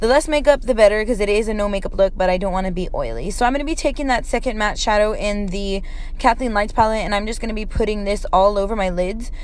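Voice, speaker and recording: Against noticeable background noise, a woman with a fairly high pitch and ordinary pitch variation speaks at a very fast pace with hardly any pauses. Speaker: beauty vlogger. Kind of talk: makeup tutorial voice-over. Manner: casual, chatty.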